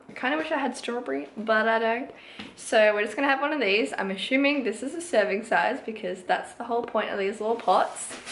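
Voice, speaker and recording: A woman speaks with a fairly high pitch and lively intonation. Audible room echo and noticeable background noise surround her voice. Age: 20s. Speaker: fitness vlogger. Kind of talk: casual vlog.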